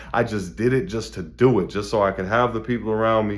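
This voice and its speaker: With fairly even intonation, a man of fairly low pitch speaks at a very fast pace. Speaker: motivational video host. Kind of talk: motivational monologue. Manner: mellow.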